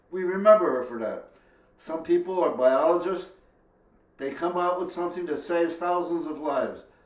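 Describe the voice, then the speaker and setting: With noticeable background noise and audible room echo, a man talks at a high pitch with fairly even intonation. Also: moderate pace. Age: 80s+. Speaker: home cook. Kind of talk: tutorial.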